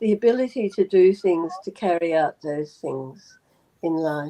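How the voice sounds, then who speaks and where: Dark and mellow, the tone comes across clearly. There is no echo, and the sound stays dry and close. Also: woman. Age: 80s+. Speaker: yoga practitioner. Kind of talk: panel discussion.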